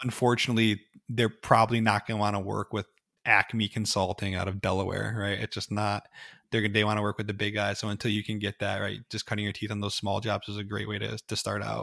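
With an American accent, a man speaks at a very fast pace in a fairly low pitch, his intonation monotone and flat. His tone is bright and sharp, with vocal fry. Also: very clean recording, silent background. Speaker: cybersecurity company founder. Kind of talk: casual interview chat.

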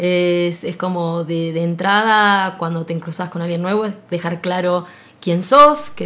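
A woman with an Argentine accent speaks at a fairly slow pace, her medium pitch showing ordinary variation. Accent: Rioplatense Argentine Spanish. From Argentina, Buenos Aires province coast. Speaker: physicist and lecturer. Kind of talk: interview. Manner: halting, many repetitions.

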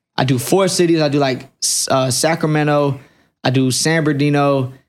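In an ordinary speaking voice, a man speaks at a moderate pace with fairly high pitch and fairly even intonation. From Fayetteville, North Carolina. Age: 20s. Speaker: barber turned entrepreneur. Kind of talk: casual chat.

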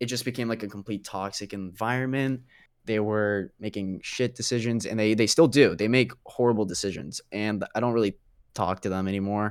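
A man with a normal speaking voice, fairly low pitch and fairly even intonation, at a fairly quick pace on a very clean recording with a silent background. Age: young. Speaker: podcast guest. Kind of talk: casual chat.

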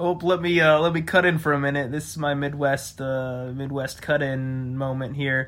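In an American accent and a plain, everyday voice, someone speaks at a moderate pace with fairly even intonation and hardly any pauses. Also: man, fairly high pitch for a man. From Pittsburgh, Pennsylvania. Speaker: podcast host. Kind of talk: casual chat.

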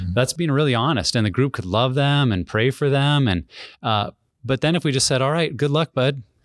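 A man speaks in an unremarkable speaking voice at a medium pitch and a fairly quick pace, with ordinary pitch variation and very even loudness. The sound is dry and close with no echo, on a very clean recording with a silent background. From US Mountain West (Wyoming, Montana). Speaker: ministry director and former pastor. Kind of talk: podcast interview, personal testimony.

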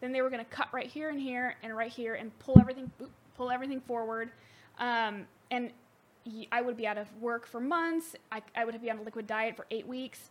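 Talking at a fairly quick pace, a high-voiced woman keeps her intonation fairly even while her loudness swings widely against noticeable background noise. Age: 20s. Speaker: returning guest, friend of host. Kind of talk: casual chat.

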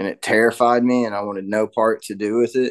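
A man with an East Tennessee accent speaks at a moderate pace, his pitch fairly low and his intonation fairly even. The sound is dry and close, with no echo. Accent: East Tennessee Southern American. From US South, Knoxville, Tennessee. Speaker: recovering addict in twelve-step program. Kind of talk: recovery testimony in casual interview.

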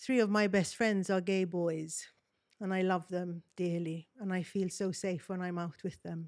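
Fairly slow, fairly even speech from a woman, medium in pitch. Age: 50s. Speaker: makeup artist. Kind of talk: panel discussion. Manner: halting.

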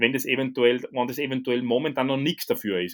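This man has a plain, everyday voice. He talks at a moderate pace with ordinary pitch variation. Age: 30s. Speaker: strength coach. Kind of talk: casual chat.

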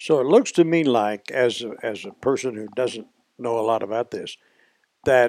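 Fairly slow male speech with ordinary pitch variation and a dry, close sound with no echo. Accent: Southern US. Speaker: podcast host. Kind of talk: casual interview.

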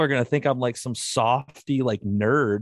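The recording of a man with an American accent sounds dry and close, with no echo. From Southeast Michigan, Ohio border. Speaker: outdoors podcaster and hunter. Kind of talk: casual interview chat. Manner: rambling, energetic.

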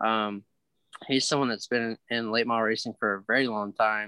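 An unremarkable speaking voice with an American accent moves at a fairly quick pace. Its intonation is fairly even. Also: man. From Virginia, US South. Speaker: racing driver. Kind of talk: interview.

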